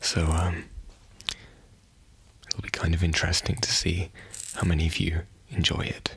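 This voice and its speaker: A soft-spoken man talks at a very deep, low pitch with monotone, flat intonation and very even loudness. He keeps a moderate pace with long, frequent pauses over noticeable background noise. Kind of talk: ASMR soft talking.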